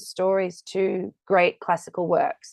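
A woman with an Australian accent, recorded dry and close with no echo over a quiet background. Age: 40s. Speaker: musical theatre actor. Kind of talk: casual interview.

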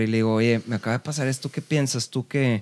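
A man with a plain, everyday voice talks at a moderate pace and medium pitch, with fairly even intonation in a dry, close sound with no echo. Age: 30s. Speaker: rock musician. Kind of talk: casual chat.

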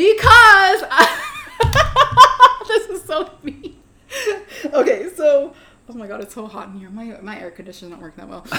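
A woman with an American accent speaks in a raised, projected voice at an extremely high pitch, with very wide pitch swings, big swings in loudness and a fairly slow pace over noticeable background noise. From US Pacific Northwest (Federal Way, near Seattle). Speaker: school librarian. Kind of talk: casual interview chat. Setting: indoors, hot room.

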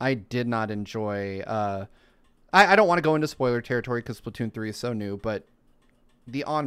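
The man has a plain, everyday voice at medium pitch with ordinary pitch variation, speaking at a fairly quick pace in a very clean recording with a silent background. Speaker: podcast host. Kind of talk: casual chat.

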